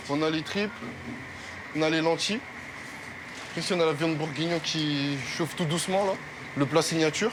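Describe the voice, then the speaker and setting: With a Parisian accent, a man speaks in a high pitch with fairly even intonation and long, frequent pauses. Noticeable background noise is present. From France, Paris. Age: 20s. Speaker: restaurant chef. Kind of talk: interview in kitchen.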